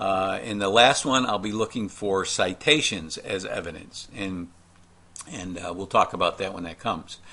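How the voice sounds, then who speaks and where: Bright and sharp in tone, a man's fairly low voice moves at a moderate pace with ordinary pitch variation. His loudness swings widely. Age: 60s. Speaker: college professor. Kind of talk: recorded lecture walkthrough. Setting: screen-recorded class video. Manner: casual, hesitant with many fillers.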